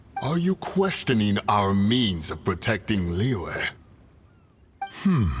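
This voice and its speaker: A man does a put-on character voice at a fairly low pitch, speaking at a very slow pace with long, frequent pauses. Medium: video game. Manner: grave, stern.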